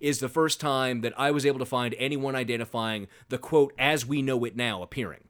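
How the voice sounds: The reading voice sounds natural. Intonation holds fairly level throughout.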